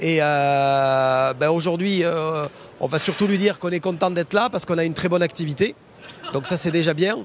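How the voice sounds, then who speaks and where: A man talks at a moderate pace in a Toulouse accent. His pitch is high, with ordinary variation. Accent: southern French (Toulouse). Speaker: foundry managing director. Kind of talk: interview on trade show floor. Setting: trade show floor.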